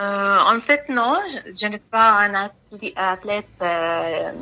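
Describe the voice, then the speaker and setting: At a very slow pace, a woman with an Arabic accent speaks in a medium pitch with a bright, sharp tone and ordinary pitch variation. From Palestine. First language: Arabic (speaking French). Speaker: humanitarian worker. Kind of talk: interview. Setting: phone call. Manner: halting.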